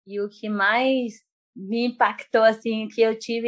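A woman speaks at a very slow pace. Her pitch is fairly high. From Bahia, Brazil. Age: 20s. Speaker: missionary and jiu-jitsu teacher. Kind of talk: casual interview. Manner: calm.

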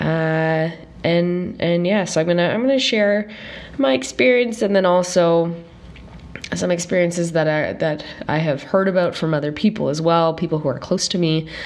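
A woman with a fairly low voice speaks at a moderate pace with ordinary pitch variation, over noticeable background noise and audible room echo. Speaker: podcast host. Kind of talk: casual solo podcast monologue. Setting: recording at parents' home.

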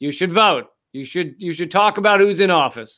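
Someone speaks with an American accent on a very clean recording with a silent background. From United States. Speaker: comedian and political satire show host. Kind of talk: interview. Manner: halting, many repeated words.

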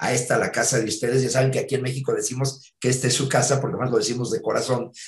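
A man with a Mexican accent talks at a very fast pace and a medium pitch, sounding somewhat breathy. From Mexico. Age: 60s. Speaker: theatre actor and producer. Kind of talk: interview.

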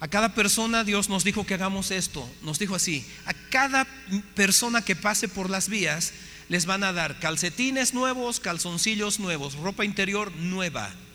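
Over noticeable background noise, a man projects his raised voice at a high pitch and a moderate pace, with ordinary pitch variation. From Bolivia. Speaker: missionary speaker. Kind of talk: sermon.

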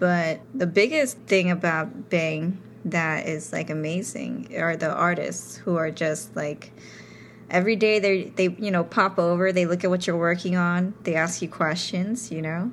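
A woman with an American accent uses a normal speaking voice, fairly low in pitch with ordinary pitch variation. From New York City. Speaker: tattoo artist. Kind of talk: casual chat.

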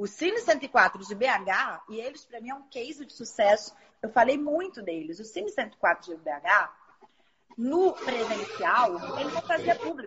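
With a Rio de Janeiro accent, a woman talks at a fairly slow pace in a fairly high voice, making very wide pitch swings and big swings in loudness. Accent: Carioca Brazilian Portuguese. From Rio de Janeiro, Zona Norte. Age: 40s. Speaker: film distributor. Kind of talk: casual interview.

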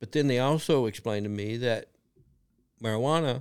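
Here is a man with a Kentucky accent, his voice at medium pitch. His pitch varies in an ordinary way, and the recording is very clean with a silent background. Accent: Kentucky Southern drawl. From rural Kentucky, Lee County. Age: 60s. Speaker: cannabis business owner, former bronco rider. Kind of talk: casual interview storytelling.

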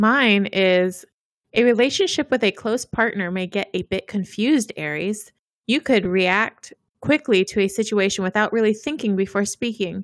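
A plain, everyday voice from a woman, medium-pitched with ordinary variation, at a moderate pace, the sound dry and close with no echo in a very clean recording with a silent background. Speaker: podcast co-host. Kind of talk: casual chat.

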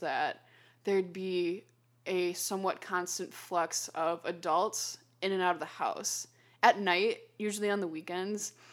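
In a plain, everyday voice, a woman speaks at medium pitch with fairly even intonation on a very clean recording with a silent background. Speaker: podcast guest, student and model. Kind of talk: casual interview storytelling.

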